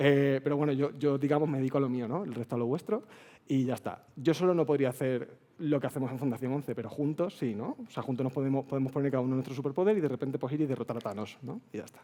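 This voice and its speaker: With an Extremaduran accent, a man rushes along at a very fast pace with hardly any pauses, his fairly high voice dark and mellow and his pitch variation ordinary. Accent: Extremadura Spanish. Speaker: accessibility speaker at a developer conference. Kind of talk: conference talk. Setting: stage with audience. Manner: casual, chatty.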